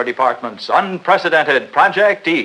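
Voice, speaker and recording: This man has a high voice with a bright, sharp tone, talking at a fairly quick pace with ordinary pitch variation. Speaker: newsreel host. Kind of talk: instructional sales newsreel narration.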